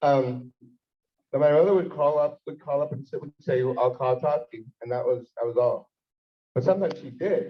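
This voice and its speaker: A man with an American accent speaks at a fairly high pitch, somewhat breathy. His loudness swings widely. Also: ordinary pitch variation, moderate pace. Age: 50s. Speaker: rabbi. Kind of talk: farbrengen storytelling talk. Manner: animated.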